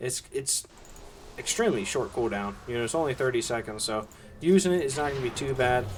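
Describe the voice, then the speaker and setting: A man speaks with a Southern US accent and very wide swings in pitch. Noticeable background noise runs beneath him. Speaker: esports caster. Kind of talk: live commentary. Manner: fast, play-by-play.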